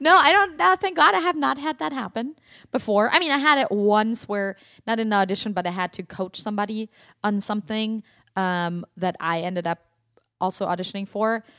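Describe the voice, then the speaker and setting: A woman with a German accent speaks at a fairly quick pace in a fairly high, bright, sharp, animated tone with very wide pitch swings, the sound dry and close with no echo on a very clean recording with a silent background. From Germany, Stuttgart. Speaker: actress and acting teacher. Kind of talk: casual chat.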